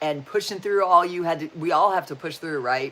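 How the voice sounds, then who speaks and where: An animated woman with a fairly low pitch. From Wyoming, US. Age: 60s. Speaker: spiritual and self-help YouTuber. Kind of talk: livestream chat reading viewer comments. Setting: live video stream. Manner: halting.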